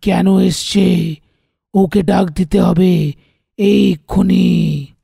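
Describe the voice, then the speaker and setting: In a raspy, cartoonish character voice, a man speaks at a high pitch and a very slow pace. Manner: authoritative, stern.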